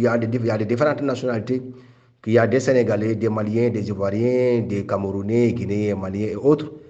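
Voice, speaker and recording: A man with a Senegalese accent speaks at a fairly quick pace, with audible room echo. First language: Wolof (speaking French). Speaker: migrant rights activist. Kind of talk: interview testimony. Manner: halting.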